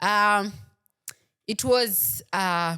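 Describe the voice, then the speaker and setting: A woman speaks in an animated tone. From Kenya. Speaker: football podcast host. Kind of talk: casual chat.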